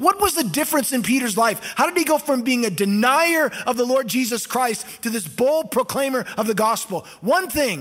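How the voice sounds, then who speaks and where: Over noticeable background noise, a man with an American accent talks at a moderate pace in an extremely high pitch with lively intonation. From US West Coast (Costa Mesa, California). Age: 50s. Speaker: pastor. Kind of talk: sermon.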